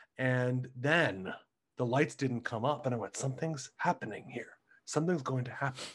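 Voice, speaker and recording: This voice is somewhat breathy, with an American accent. The pace is moderate. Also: man, medium pitch for a man, ordinary pitch variation. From Ohio, US. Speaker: Broadway actor. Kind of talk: casual interview chat.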